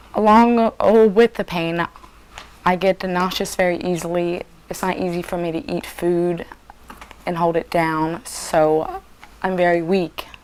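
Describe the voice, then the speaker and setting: Fairly even intonation amid noticeable background noise. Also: woman. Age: 20s. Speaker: patient. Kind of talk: interview. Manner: halting.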